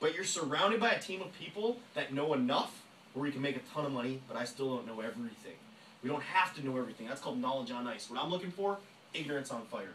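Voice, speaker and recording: With noticeable background noise, a man with a fairly high pitch talks at a very fast pace, his pitch swinging very widely. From rural area. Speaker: network marketing trainer. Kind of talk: motivational sales training talk. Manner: animated.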